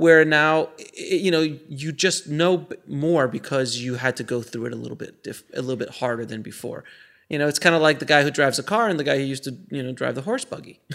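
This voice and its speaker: With an ordinary speaking voice, a man talks at a fairly quick pace and fairly high pitch, using ordinary pitch variation on a very clean recording with a silent background. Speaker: filmmaker and podcaster. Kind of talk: casual interview chat.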